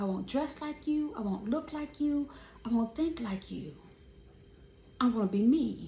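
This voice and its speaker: A loud, animated woman's voice, high-pitched, with lively intonation, a fairly slow pace, long frequent pauses and noticeable background noise. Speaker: vlogger. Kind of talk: casual monologue.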